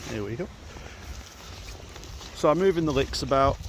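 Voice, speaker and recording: Over noticeable background noise, a man speaks at a fairly quick pace with very wide pitch swings. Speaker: new shepherd, smallholder. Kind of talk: casual talk to camera, outdoors. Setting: outdoors. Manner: hesitant, many fillers.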